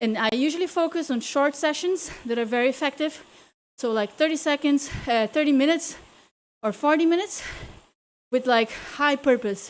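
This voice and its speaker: An energetic voice with a non-native accent, moderate pace, ordinary pitch variation and long, frequent pauses, in a very clean recording with a silent background. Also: woman, high pitch for a woman. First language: not English. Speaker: cycling coach and virtual racer. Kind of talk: live indoor cycling class coaching. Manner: energetic motivational cueing.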